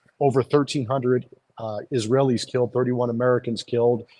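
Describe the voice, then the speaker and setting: A man with a New York accent speaks at a medium pitch. His intonation is monotone and flat. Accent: sounds like New York. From Iowa (Des Moines). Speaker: lawyer and legal advocacy group founder. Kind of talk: interview. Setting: outside a courthouse.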